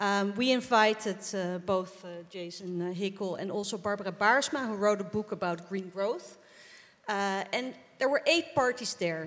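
A fairly slow delivery in a Dutch accent. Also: woman, medium pitch for a woman, ordinary pitch variation. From Netherlands. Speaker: politician, member of parliament; politician. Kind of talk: panel discussion. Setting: stage with audience. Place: stage. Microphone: handheld.

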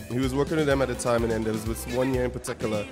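A man's voice with ordinary pitch variation over clear music in the background. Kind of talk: interview answer. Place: hall. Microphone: handheld.

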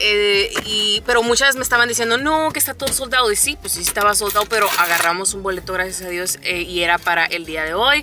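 Talking at a fairly quick pace with hardly any pauses, a woman is heard over noticeable background noise in a dry sound with no echo. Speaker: mother vlogger. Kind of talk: casual vlog chat. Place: car. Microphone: phone near.

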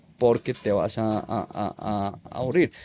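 A man speaks with ordinary pitch variation in a dark, mellow tone. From Colombia. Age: 30s. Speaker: freestyle motocross rider; podcast guest. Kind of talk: casual chat. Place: studio. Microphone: studio mic.

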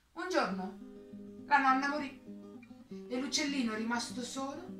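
Audible room echo and faint music in the background surround a woman speaking. Her pitch is high, with ordinary variation, at a moderate pace. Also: fairly bright tone.

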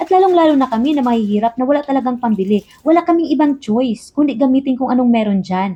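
A woman talks at a very fast pace in a high pitch, with lively intonation, very even loudness and hardly any pauses. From Philippines. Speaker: overseas Filipino worker vlogger. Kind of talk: casual vlog monologue.

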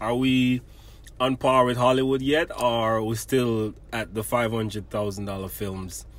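With a Jamaican accent, a man talks at a fairly slow pace and with fairly even intonation. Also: medium pitch for a man. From Jamaica, Portland parish. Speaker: podcast host. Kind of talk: interview.

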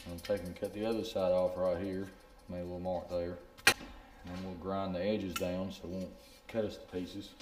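A man's very deep, low voice in a Southern US accent, monotone and flat, at a fairly quick pace with long, frequent pauses, audible room echo and music in the background. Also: big swings in loudness. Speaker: fishing channel host. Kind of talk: DIY tutorial.

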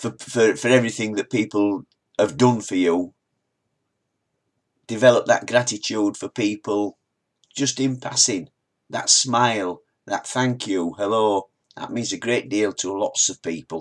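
A man with a fairly low pitch, fairly slow pace and long, frequent pauses. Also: ordinary pitch variation, very clean recording, silent background. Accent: Yorkshire. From northern England, Wakefield, Yorkshire. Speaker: motivational vlogger. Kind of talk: motivational talk reading quotes. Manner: halting, repeats words.

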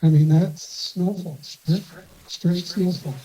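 A man speaks with an American accent. His pace is fairly slow and his intonation fairly even. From Eastern Idaho. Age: 60s. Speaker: rancher. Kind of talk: public hearing testimony. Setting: council meeting.

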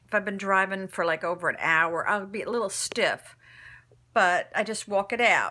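Here a woman speaks at a fairly slow pace. Her tone is bright and sharp. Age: 60s. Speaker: vlogger sharing surgery recovery. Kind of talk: casual video diary. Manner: hesitant, filler-heavy. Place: home room. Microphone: phone near.

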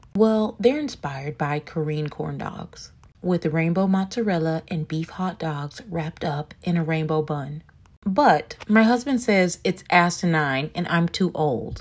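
A woman with a fairly low pitch and a somewhat breathy voice speaks at a fairly slow pace, with ordinary pitch variation. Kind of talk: comedic confession story to camera.

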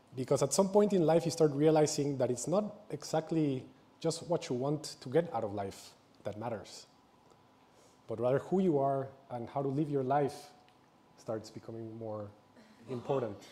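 A man speaks at a moderate pace in a somewhat breathy voice. He leaves long, frequent pauses. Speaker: presenter. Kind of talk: public talk. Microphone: lapel.

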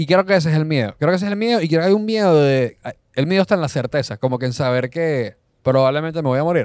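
Talking at a very fast pace, a man speaks at a fairly high pitch. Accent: Caracas Venezuelan. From Caracas, Venezuela. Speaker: comedian. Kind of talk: casual chat.

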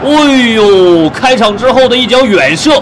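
At a very slow pace and an extremely high pitch, a man speaks in a dramatic tone with lively intonation over noticeable background noise. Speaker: football commentator. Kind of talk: live match commentary, highlights voiceover. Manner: uses vivid idioms and dramatic exclamations.

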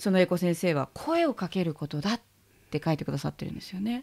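A woman talks very fast, her pitch swinging very widely. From Japan. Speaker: interviewer. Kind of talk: interview. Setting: in a pharmacy. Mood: warm, earnest, reflective. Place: shop. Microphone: studio mic.

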